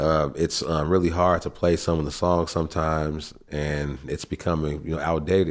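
A man with a very deep, low pitch, monotone, flat intonation and hardly any pauses. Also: moderate pace. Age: 30s. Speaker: rapper. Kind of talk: casual chat. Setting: studio. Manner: halting.

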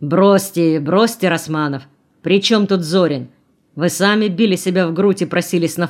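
With a quiet background, this reading aloud in a natural voice shows ordinary pitch variation.

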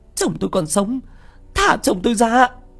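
Putting on a character voice, a man speaks at a moderate pace in an extremely high pitch with big pitch swings, a fairly bright tone, a slightly husky edge and vocal fry.

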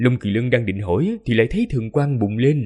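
Lively intonation in a natural reading voice

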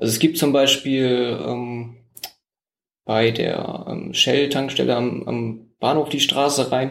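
Speaking at a very slow pace, the man keeps his intonation fairly even. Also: medium pitch for a man. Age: 20s. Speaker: mayoral candidate. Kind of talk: interview. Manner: hesitant, many fillers.

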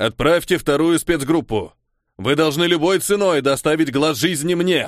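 A man speaks at a moderate pace. His pitch is fairly high. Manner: commanding.

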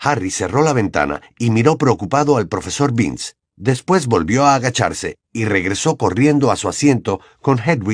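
The clip carries a natural reading voice over a quiet background.

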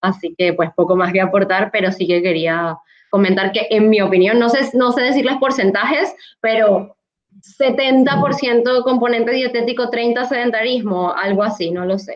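This woman has a normal speaking voice. Her pitch sits fairly high. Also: ordinary pitch variation. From Latin America. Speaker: pediatric dietitian. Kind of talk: panel discussion.

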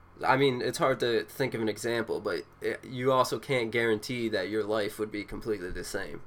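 A man with an ordinary speaking voice: medium pitch, fairly even intonation, a fairly quick pace and hardly any pauses. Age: 20s. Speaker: podcast co-host. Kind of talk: casual chat.

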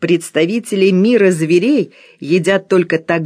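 An unforced reading voice, its pitch varying in the usual way

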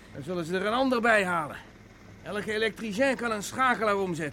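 The put-on character voice has a bright, sharp tone and moves at a fairly quick pace. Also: man, high pitch for a man, lively intonation.

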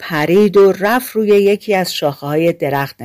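Pitch varies an ordinary amount while someone is reading aloud in a natural voice.

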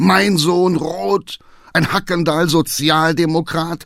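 In a put-on character voice, a man speaks slowly with vocal fry and a fairly bright tone. His pitch is fairly high and his intonation fairly even.

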